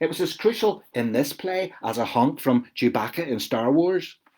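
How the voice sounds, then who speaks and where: With a Belfast accent, a man speaks at a moderate pace. His fairly high pitch moves in very wide swings. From Northern Ireland, West Belfast. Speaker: author. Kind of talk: reading aloud.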